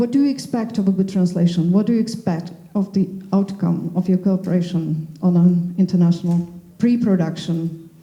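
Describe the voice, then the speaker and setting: This woman speaks with a Slovak accent at a medium pitch. Her loudness stays very even. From Slovakia. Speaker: panel moderator. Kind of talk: panel discussion.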